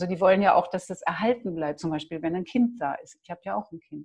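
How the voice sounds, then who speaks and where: Using a plain, everyday voice, a woman speaks at a medium pitch with ordinary pitch variation. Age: 60s. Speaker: massage and touch practitioner. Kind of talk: interview.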